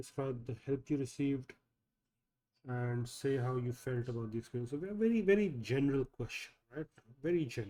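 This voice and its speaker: A man speaks at a fairly quick pace in a medium pitch, with a dark, mellow tone. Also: ordinary pitch variation. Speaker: English tutor. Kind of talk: online class, reviewing student work.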